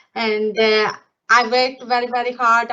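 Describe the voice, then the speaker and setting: Speaking in a monotone, flat way, a woman with a non-native accent has a fairly high pitch. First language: not English. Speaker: nursing associate. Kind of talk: career testimony. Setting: live online event. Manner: halting, many fillers.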